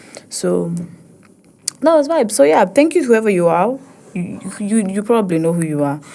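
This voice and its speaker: Speaking with an East African accent at a moderate pace, a woman uses a medium pitch with very wide pitch swings and long, frequent pauses. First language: Swahili. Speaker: podcast host, poet. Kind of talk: casual podcast monologue. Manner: halting, many restarts.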